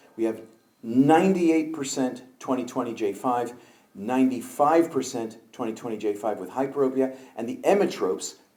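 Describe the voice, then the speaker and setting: Amid audible room echo, a man speaks at medium pitch and a moderate pace in a dark, mellow tone. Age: 60s. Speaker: eye surgeon. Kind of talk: conference lecture. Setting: conference hall with audience.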